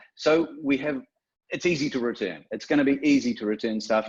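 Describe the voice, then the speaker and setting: A fairly high male voice with a New Zealand accent and very wide pitch swings. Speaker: software developer. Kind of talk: webinar presentation. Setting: online webinar. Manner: hesitant, many fillers.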